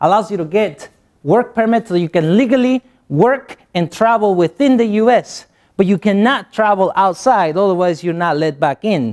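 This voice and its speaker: A man with a Spanish accent and lively intonation at a moderate pace, on a very clean recording with a silent background. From Guatemala. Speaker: motivational speaker. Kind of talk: motivational speech.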